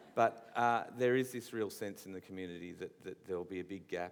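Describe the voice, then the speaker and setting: In an Australian accent, a man with a fairly low voice speaks at a moderate pace. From Australia, New South Wales. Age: young. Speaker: visual artist interviewing an author. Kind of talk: on-stage festival interview. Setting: stage with audience. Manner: halting, repeats words.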